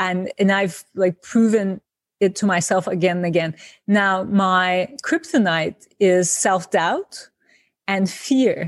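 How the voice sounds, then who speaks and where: A woman speaks at a very slow pace and a medium pitch, with ordinary pitch variation. The recording is very clean with a silent background, dry and close with no echo. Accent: Turkish. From Turkey, Izmir. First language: Turkish. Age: 50s. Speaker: designer and author. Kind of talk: interview.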